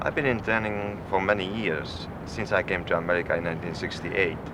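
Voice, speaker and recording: Against noticeable background noise, the voice keeps a calm tone with ordinary pitch variation at a fairly quick pace. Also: man. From Czechoslovakia. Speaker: stuntman. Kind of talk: interview.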